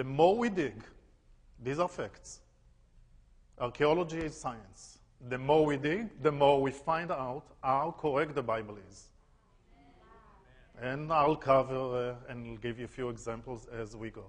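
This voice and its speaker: In an Israeli accent, the speech has big swings in loudness and long, frequent pauses. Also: man, medium pitch for a man, ordinary pitch variation, fairly slow pace. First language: Hebrew. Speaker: tour guide. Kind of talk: lecture.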